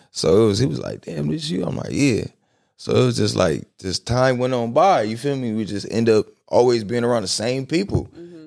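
A man's medium-pitched voice at a fairly quick pace, with very wide pitch swings, in a very clean recording with a silent background. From Compton, Los Angeles, California. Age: 20s. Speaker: rapper. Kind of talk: casual chat. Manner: laughs often.

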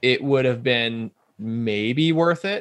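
Here a man speaks at medium pitch with a US Midwestern accent. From Omaha, Nebraska. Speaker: bike shop owner. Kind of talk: interview.

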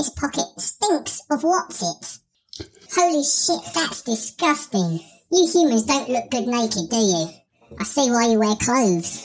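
The voice sounds female and is a put-on character voice, fairly high in pitch for a woman. It moves at a fairly slow pace. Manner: crude, blunt.

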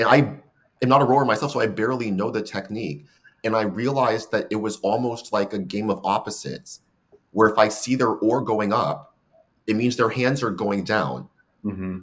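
A man with an American accent speaks at a fairly quick pace in a plain, everyday voice, his pitch fairly low. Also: ordinary pitch variation. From San Francisco, California. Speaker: coxswain, podcast guest. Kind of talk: casual interview.

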